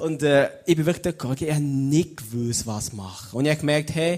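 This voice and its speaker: A man with a fairly high pitch, ordinary pitch variation, a fairly quick pace and an unremarkable speaking voice. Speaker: theology student and lay preacher. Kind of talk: sermon. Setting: stage with audience.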